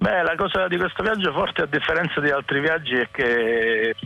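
A man speaks at a fairly quick pace amid noticeable background noise. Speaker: musician. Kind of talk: interview.

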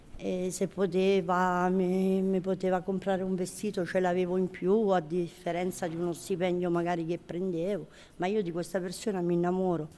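Over a quiet background, a woman speaks in a flat monotone at medium pitch with a dark, mellow tone. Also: moderate pace. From southern Italy, Taranto (Puglia). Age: 50s. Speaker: prison inmate on day release. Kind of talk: personal testimony. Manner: halting.

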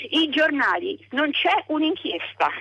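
A woman is speaking. Her tone is animated. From Umbria, province of Perugia. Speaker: radio caller. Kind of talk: phone-in comment. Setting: phone call.

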